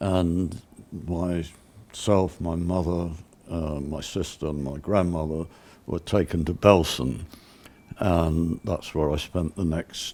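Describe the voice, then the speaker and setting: A man with a very deep, low pitch and a dark, mellow tone speaks very slowly, with fairly even intonation and long, frequent pauses. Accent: British. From England. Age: 80s+. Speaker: sculptor and Holocaust survivor. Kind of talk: interview testimony. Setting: on location set.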